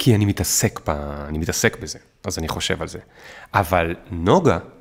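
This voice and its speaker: A man talks at a moderate pace. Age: 30s. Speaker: startup founder and author. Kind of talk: casual interview.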